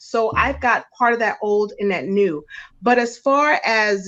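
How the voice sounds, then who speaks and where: A woman with an American accent speaks at a fairly slow pace in an unremarkable speaking voice. Her pitch is fairly high, with ordinary pitch variation. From New York. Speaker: guest commentator. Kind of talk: casual live-stream discussion.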